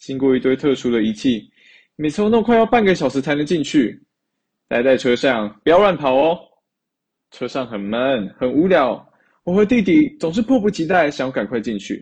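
At a moderate pace, a man with fairly high pitch speaks with very wide pitch swings. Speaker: university student, storyteller. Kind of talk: recorded personal storytelling.

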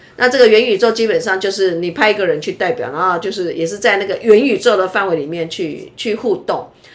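Noticeable background noise sits under a woman's voice. She talks at a fairly quick pace with ordinary pitch variation. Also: medium pitch for a woman, hardly any pauses. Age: 60s. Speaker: university professor. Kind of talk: casual interview chat. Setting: recorded during beauty appointment.

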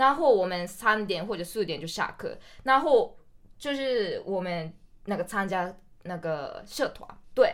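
A medium-pitched woman's voice with very wide pitch swings at a moderate pace, on a very clean recording with a silent background. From Japan, Hokkaido. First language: Japanese (speaking Chinese). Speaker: university student. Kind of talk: casual chat. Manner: animated.

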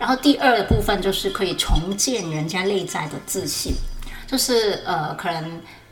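Speaking in a Hong Kong accent at a moderate pace, a woman with a medium pitch and lively intonation is heard over noticeable background noise and audible room echo. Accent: Hong Kong accent in Mandarin. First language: Cantonese (speaking Chinese). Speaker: photographer. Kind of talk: casual interview.

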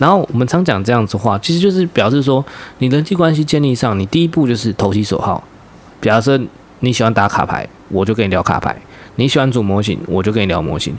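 A man talks at a very fast pace and medium pitch. His voice makes very wide pitch swings. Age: 30s. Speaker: podcast co-host, workplace supervisor. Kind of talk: casual chat.

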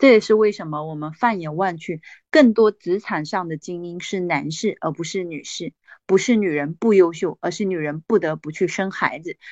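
A woman talks at a moderate pace and medium pitch, with ordinary pitch variation. Her tone is animated. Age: 40s. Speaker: direct-sales business leader and motivational speaker. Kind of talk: sales pitch.

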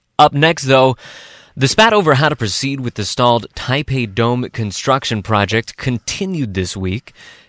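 Against a quiet background, a man with an ordinary speaking voice talks at medium pitch and moderate pace with lively intonation, the sound dry and close with no echo. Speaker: radio news host. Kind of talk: news discussion. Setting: studio.

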